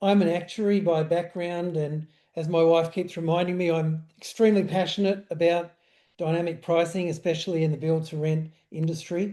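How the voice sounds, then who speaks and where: Against a quiet background, a man with a high pitch and a dark, mellow tone talks at a moderate pace in a monotone, flat intonation. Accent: Australian. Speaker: pricing software founder. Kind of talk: webinar panel introduction.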